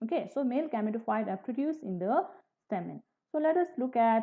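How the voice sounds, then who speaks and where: Over a quiet background, a woman is talking. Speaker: biology teacher. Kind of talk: lecture. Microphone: webcam.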